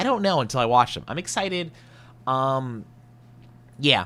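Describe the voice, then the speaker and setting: With lively intonation and a bright, sharp tone, a man at medium pitch talks at a fairly quick pace. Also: very clean recording, silent background. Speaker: vtuber content creator. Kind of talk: casual podcast monologue. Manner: unexcited when reading scripts; halting, repeats words.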